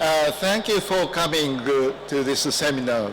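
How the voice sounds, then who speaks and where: Amid noticeable background noise and audible room echo, a man with a Japanese accent speaks very slowly with lively intonation. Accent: Japanese accent in English and Greek. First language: Japanese (speaking Greek). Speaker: ambassador. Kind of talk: formal speech at seminar. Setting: seminar with audience. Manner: halting, many fillers.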